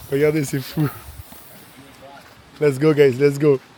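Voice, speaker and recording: Speaking at a moderate pace, a man uses a fairly high pitch. There is noticeable background noise. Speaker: travel vlogger. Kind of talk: travel vlog narration to camera. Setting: outdoors at a waterfall. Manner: animated.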